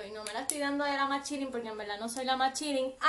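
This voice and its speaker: A woman speaking very fast, high-pitched and animated. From Puerto Rico, west (Aguadilla). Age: 20s. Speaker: podcast co-host, host's cousin. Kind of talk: casual chat.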